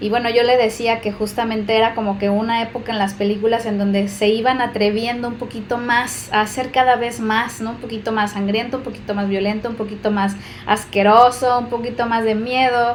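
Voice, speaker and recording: Very fast and with hardly any pauses, a woman speaks at a fairly high pitch in a monotone, flat intonation, with audible room echo and noticeable background noise. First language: Spanish. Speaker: co-host and interpreter. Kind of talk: casual chat.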